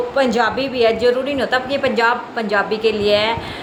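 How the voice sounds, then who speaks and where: A woman speaks at a high pitch and a moderate pace, with noticeable background noise present. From Chandigarh, India. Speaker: vlogger. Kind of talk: casual vlog talk to camera. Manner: chatty, repetitive.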